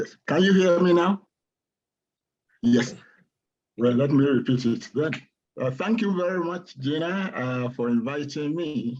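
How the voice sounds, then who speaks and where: Speaking in a Nigerian accent, a man with a fairly high voice uses lively intonation at a fairly slow pace, leaving long, frequent pauses. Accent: Nigerian (Yoruba) English. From Nigeria, Yoruba-speaking west. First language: Yoruba. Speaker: poet and professor. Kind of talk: poetry reading introduction. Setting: video call.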